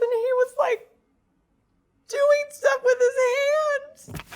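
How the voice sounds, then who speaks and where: This female-sounding put-on character voice is pitched extremely high. It moves very slowly in a flat monotone. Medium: stage play. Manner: halting, stammering.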